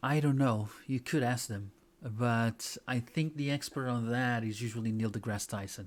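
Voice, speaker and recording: A man with a non-native accent speaks at a medium pitch with fairly even intonation. The recording is very clean, with a silent background. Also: moderate pace. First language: not English. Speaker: talk show co-host. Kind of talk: casual news roundup chat.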